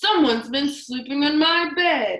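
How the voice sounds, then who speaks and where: A woman puts on a growling character voice, high-pitched, at a moderate pace with ordinary pitch variation. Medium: read story.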